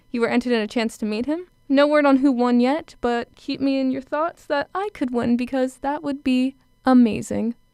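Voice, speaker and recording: Upbeat in tone, a woman speaks at a high pitch and a moderate pace with ordinary pitch variation. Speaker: college radio DJ. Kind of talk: radio show host patter. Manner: upbeat, chatty.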